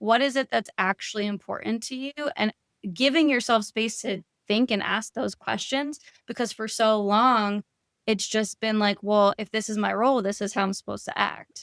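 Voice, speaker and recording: A woman's plain, everyday voice, fairly high in pitch, at a moderate pace with fairly even intonation, in dry, close sound with no echo. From New York. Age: 30s. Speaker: therapist and life coach. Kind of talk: podcast interview.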